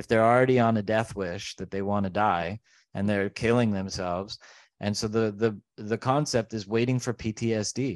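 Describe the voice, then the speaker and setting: At a moderate pace, a man speaks in a normal speaking voice, fairly low in pitch, with fairly even intonation. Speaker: podcast host. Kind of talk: casual political chat.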